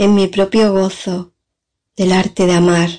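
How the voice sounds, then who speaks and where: Her dark, mellow tone is somewhat breathy as this woman talks at a very slow pace in a medium pitch. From San Fernando, Cádiz, Spain. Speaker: poet. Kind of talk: recorded testimony and poetry reading.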